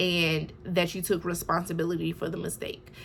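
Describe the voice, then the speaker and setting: A woman speaks at a moderate pace and medium pitch. Hers is an unremarkable speaking voice. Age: 20s. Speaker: nursing student. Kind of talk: casual talk to camera.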